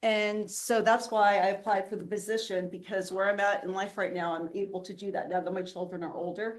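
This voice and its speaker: In a flat monotone, a woman speaks at a medium pitch and a moderate pace. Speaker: board candidate, university educator. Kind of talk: job interview. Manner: loud.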